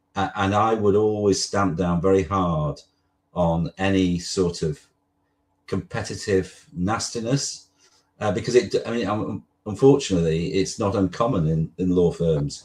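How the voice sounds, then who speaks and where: In a very deep, low voice, a man talks at a fairly slow pace with ordinary pitch variation. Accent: slight northern English. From northwest England. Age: 60s. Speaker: lawyer. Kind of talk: interview. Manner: halting.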